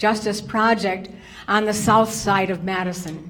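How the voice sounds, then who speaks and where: Audible room echo surrounds a woman with an American accent who speaks at a moderate pace with fairly even intonation. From Wisconsin. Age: 70s. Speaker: social worker. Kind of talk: testimony. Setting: public hearing with microphone.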